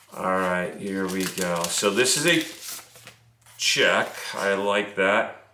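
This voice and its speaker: A man's fairly low voice with ordinary pitch variation, at a very slow pace with long, frequent pauses, amid audible room echo and noticeable background noise. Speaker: business coach. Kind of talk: tutorial. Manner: casual.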